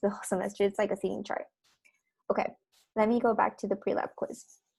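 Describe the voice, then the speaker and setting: A woman's fairly high voice on a very clean recording, background silent. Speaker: lab teaching assistant. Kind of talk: course instructions. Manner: casual, with fillers.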